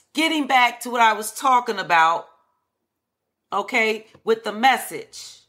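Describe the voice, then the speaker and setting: A woman speaks at a fairly high pitch with ordinary pitch variation, her tone bright, sharp and animated. The pace is fairly slow with long, frequent pauses, on a very clean recording with a silent background. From Chicago, Henry Horner projects. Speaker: podcast host. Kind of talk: solo commentary monologue.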